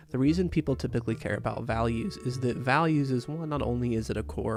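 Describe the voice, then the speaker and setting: Quiet music plays in the background. A man at medium pitch talks at a fairly quick pace with very wide pitch swings. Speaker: art tutorial youtuber. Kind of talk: tutorial. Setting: at home early morning. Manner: casual.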